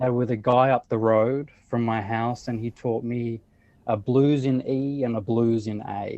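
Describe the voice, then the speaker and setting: With an Australian accent, a man of medium pitch speaks at a fairly slow pace in a dark, mellow tone with fairly even intonation. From Australia, Sydney. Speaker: blues musician. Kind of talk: interview.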